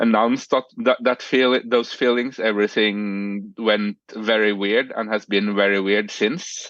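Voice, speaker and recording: A man speaks with a Norwegian accent in a flat, monotone delivery. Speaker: podcast guest, romance reader. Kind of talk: casual chat. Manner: halting, many fillers.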